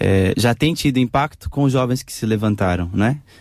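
Here a man talks at a moderate pace. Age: young. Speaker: pastor of a church social project. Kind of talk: radio panel discussion. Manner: hesitant, many fillers.

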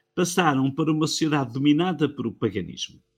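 On a very clean recording with a silent background, a man talks at a fairly quick pace in a fairly high, somewhat breathy voice with ordinary pitch variation. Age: 70s. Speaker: Bible teacher. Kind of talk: religious talk.

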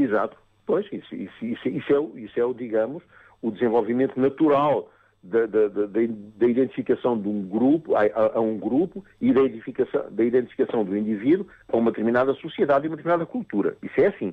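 A man with a medium-pitched voice talks at a fairly quick pace, his intonation lively. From Mozambique. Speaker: psychotherapist. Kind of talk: radio interview. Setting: phone call. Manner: halting, many repetitions and fillers.

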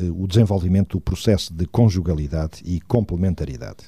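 On a very clean recording with a silent background, the voice has a dark, mellow tone and ordinary pitch variation. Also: man. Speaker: radio host. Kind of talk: radio talk show.

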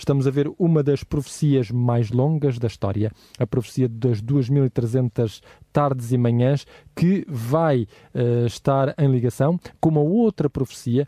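At a fairly slow pace, a man speaks with a dark, mellow tone, medium pitch, ordinary pitch variation and very even loudness, in a dry, close sound with no echo. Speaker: radio host. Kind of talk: radio Bible study discussion. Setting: studio.

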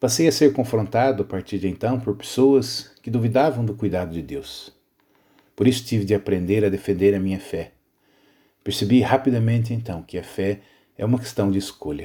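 A dark, mellow, somewhat breathy voice with a Brazilian accent and ordinary pitch variation. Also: man. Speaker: pastor. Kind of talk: scripted narration.

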